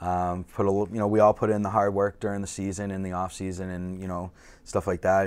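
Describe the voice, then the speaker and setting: With a Boston accent, a man talks at a fairly quick pace in a very deep, low pitch and monotone, flat intonation. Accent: Boston-area. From Massachusetts North Shore (Peabody); Massachusetts. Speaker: softball player; podcast guest. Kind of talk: casual chat. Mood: relaxed, friendly. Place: studio.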